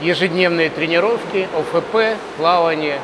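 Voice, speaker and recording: Noticeable background noise runs behind a man speaking at a high pitch with fairly even intonation. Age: 60s. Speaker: swimming coach. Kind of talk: interview.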